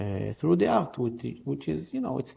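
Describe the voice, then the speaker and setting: In an Israeli accent, a man speaks with a fairly low pitch and a dark, mellow tone that is somewhat breathy. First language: Hebrew. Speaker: art festival founder. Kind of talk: interview. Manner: halting.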